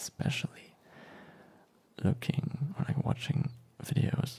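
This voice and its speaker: A soft-spoken man talks in a relaxed tone. His intonation stays fairly even. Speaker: ASMR creator. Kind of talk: ASMR unboxing, softly spoken talk. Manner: soft-spoken, relaxed.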